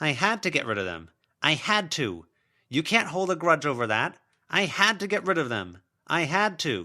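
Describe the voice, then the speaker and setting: A man uses a put-on character voice, whiny and fairly high-pitched. He talks at a moderate pace in a raised, projected voice. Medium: read story. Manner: self-justifying, repetitive, whiny.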